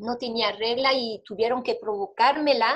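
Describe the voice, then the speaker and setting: With a French accent, a woman speaks very slowly at a high pitch, keeping her intonation fairly even. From Belgium. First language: French (speaking Spanish). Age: 40s. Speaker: interviewee. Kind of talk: testimony. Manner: halting.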